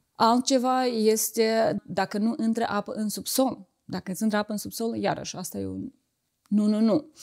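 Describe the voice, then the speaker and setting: Against a quiet background, the speaker talks at a moderate pace with ordinary pitch variation. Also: woman, fairly high pitch for a woman. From Moldova, Chișinău; Moldova. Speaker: real estate agent; guest. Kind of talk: interview. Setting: outdoors. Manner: halting.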